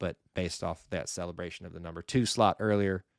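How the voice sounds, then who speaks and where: A man speaks with an Alabama accent at a fairly quick pace. His pitch is very deep and low with ordinary variation, in a very clean recording with a silent background. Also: dry, close sound with no echo. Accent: Southern US (Alabama). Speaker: sports podcast host. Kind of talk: solo podcast news round-up. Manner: casual, with frequent fillers.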